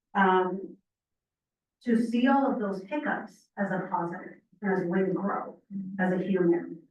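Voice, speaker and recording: In a room with audible echo, a woman speaks at a moderate pace and medium pitch with ordinary pitch variation, leaving long, frequent pauses. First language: not English. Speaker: program participant giving testimony. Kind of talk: testimony. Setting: public meeting, in person. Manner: halting, with frequent fillers.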